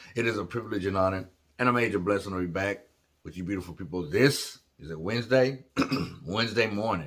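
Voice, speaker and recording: In a put-on character voice, a man delivers raspy, fairly low-pitched speech at a very fast pace. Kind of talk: casual, upbeat vlogger.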